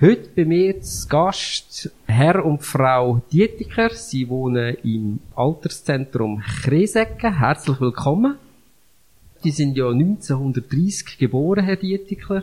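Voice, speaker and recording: At a very slow pace, a man speaks in a somewhat breathy, fairly high voice that swings very widely in pitch. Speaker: church podcast host. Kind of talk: interview.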